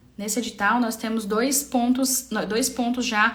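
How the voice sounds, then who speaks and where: A woman's voice, with noticeable background noise and audible room echo. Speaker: public procurement trainer. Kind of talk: live-stream tutorial. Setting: live stream. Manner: fast; halting with fillers.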